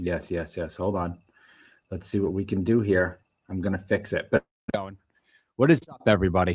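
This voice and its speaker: Very deep, low male voice in a Rhode Island accent, at a moderate pace with fairly even intonation, long, frequent pauses and a quiet background. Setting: online call or stream.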